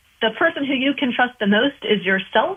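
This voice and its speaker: Using an ordinary speaking voice, this woman keeps a moderate pace and ordinary pitch variation. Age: 20s. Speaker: nutrition coach. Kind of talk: casual chat.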